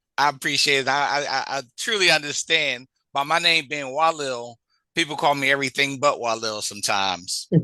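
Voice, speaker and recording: Bright and sharp in tone, a man with a fairly high voice speaks at a fairly quick pace with ordinary pitch variation against a quiet background. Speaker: radio host. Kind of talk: radio interview.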